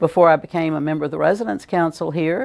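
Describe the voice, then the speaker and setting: A woman speaks at a very deep, low pitch with vocal fry. The recording is very clean, with a silent background. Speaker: retirement community council candidate. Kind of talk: candidate statement.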